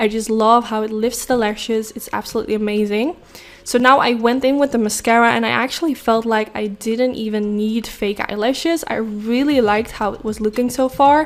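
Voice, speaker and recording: Over noticeable background noise, a woman with a fairly high voice talks at a fairly quick pace with hardly any pauses and fairly even intonation. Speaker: beauty vlogger. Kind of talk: makeup tutorial voiceover. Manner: fast.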